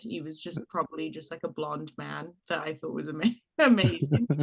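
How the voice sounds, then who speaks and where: With an American accent, a woman speaks in a very deep, low pitch. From mixed: Trinidad, Britain, US. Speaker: actress. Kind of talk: interview chat. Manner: casual, hesitant with fillers.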